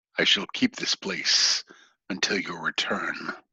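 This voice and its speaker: In a put-on character voice, a man booms out raspy, fairly low-pitched lines at a fairly slow pace. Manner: solemn, formal.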